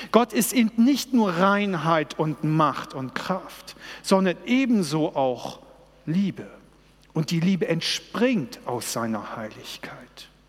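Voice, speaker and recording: The speech comes at a very slow pace, with noticeable background noise. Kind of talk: sermon. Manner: earnest, personal, urgent; direct, pleading, with rhetorical questions.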